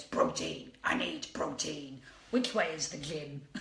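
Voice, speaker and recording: Using a put-on character voice, a man delivers gruff, dramatic lines at a fairly high pitch and a fairly slow pace, with slight echo and light background noise. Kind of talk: monosyllabic. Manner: dramatic, exaggerated.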